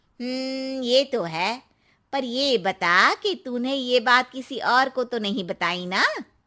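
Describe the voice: This woman uses a cartoonish character voice pitched high. She keeps a moderate pace.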